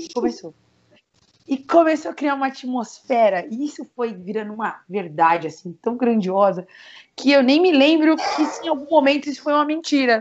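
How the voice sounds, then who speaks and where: A woman's high voice swings very widely in pitch as she talks at a moderate speed. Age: 20s. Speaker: digital marketing entrepreneur. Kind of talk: personal testimony in podcast interview.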